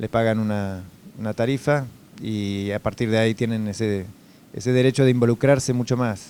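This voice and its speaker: Using a dark, mellow tone, a man speaks at a moderate pace with a Uruguayan accent. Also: medium pitch for a man, fairly even intonation. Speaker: food safety executive. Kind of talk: interview. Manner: hesitant, many fillers.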